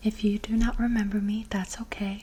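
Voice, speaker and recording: A soft-spoken woman at medium pitch, calm in tone, with monotone, flat intonation, a moderate pace and noticeable background noise. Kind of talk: ASMR personal-attention roleplay asking gentle questions for sleep. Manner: soft-spoken, calm.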